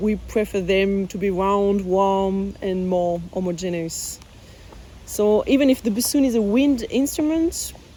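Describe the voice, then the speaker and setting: A woman with a French accent speaks at a fairly slow pace. Her tone is dark and mellow, with ordinary pitch variation. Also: medium pitch for a woman. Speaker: bassoonist. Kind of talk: interview answers, reading own questions aloud. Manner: halting, many fillers.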